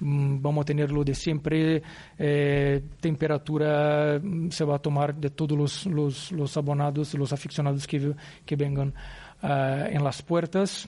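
A man with a Portuguese accent speaks at a fairly high pitch in a dark, mellow, somewhat breathy tone. His delivery is a flat monotone at a fairly slow pace with very even loudness. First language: Portuguese (speaking Spanish). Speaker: football club executive. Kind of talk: press conference. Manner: halting.

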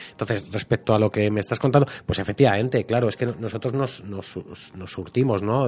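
Lively intonation runs through this man's speech, and he has an ordinary speaking voice. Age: 40s. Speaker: private detective and novelist. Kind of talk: radio interview.

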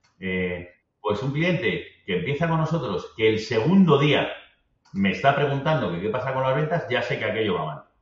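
With audible room echo, a man at a medium pitch talks at a fairly quick pace with lively intonation. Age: 50s. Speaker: business executive. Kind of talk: interview conversation.

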